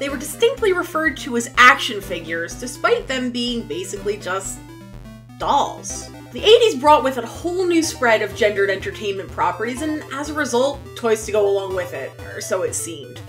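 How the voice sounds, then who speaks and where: A woman at a fairly quick pace over clear music in the background. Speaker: toy vlogger. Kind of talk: scripted commentary on toy history. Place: home room.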